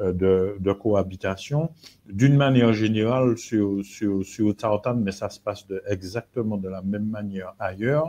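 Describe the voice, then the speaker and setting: Against a quiet background, a man speaks at a fairly slow pace with a dark, mellow tone, fairly low pitch and ordinary pitch variation. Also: big swings in loudness. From Martinique. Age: 50s. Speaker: real estate agent. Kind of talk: live webinar presentation. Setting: live video webinar. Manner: halting, many hesitations.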